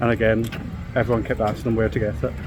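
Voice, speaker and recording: A man with a Scottish accent talks at a fairly quick pace amid noticeable background noise and audible room echo. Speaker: travel vlogger. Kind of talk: casual vlog chat. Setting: outdoors at theme park resort.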